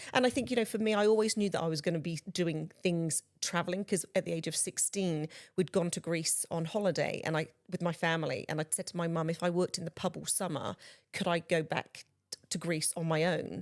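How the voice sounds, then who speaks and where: A woman with a strong English accent and a fairly low pitch talks at a fairly quick pace with fairly even intonation, on a very clean recording with a silent background and a dry, close sound with no echo. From southwest England, Bristol. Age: 40s. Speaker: guest speaker on inclusive employment. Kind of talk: casual chat.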